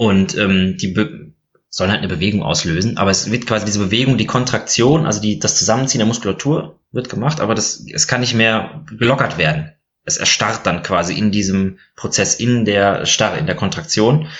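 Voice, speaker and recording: A plain, everyday voice from a man, fairly low in pitch, with lively intonation and a fairly quick pace. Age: 30s. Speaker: physician and board game blogger. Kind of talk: casual chat.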